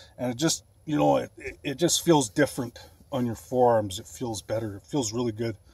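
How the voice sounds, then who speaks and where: At a fairly quick pace, a man speaks with lively intonation in a dry sound with no echo. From Canada, Alberta. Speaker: bodybuilding vlogger. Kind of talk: casual vlog. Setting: in a van. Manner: casual, filler-heavy. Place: car. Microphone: phone near.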